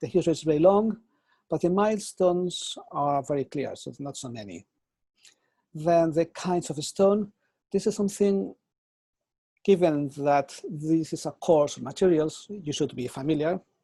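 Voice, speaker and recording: A man with a Spanish accent speaks at a moderate pace and a fairly high pitch, his tone dark and mellow. His pitch varies in an ordinary way, while his loudness swings widely. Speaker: architecture professor. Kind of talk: lecture.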